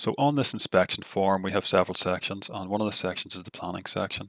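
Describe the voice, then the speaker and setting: Very fast speech comes from a man with a very deep, low pitch. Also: dry, close sound with no echo. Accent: Northern Irish. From Northern Ireland. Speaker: tech tutorial creator. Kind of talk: software tutorial. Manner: not very animated.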